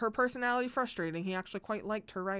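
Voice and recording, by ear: Someone reads aloud in a natural voice. The pitch rises and falls in an ordinary way.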